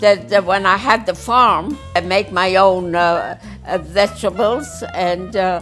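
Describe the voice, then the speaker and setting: Faint music plays in the background as a woman speaks. Her pace is fairly slow and her pitch variation ordinary. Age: 80s+. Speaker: photographer. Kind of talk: interview answer. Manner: hesitant, halting. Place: home room.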